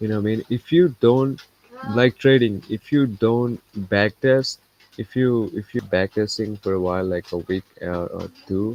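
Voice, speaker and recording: In a non-native accent, a man with a medium pitch speaks at a fairly slow pace with ordinary pitch variation, in a dry, close sound with no echo. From India. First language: not English. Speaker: trading streamer. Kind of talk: live stream casual talk. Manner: halting, repetitive.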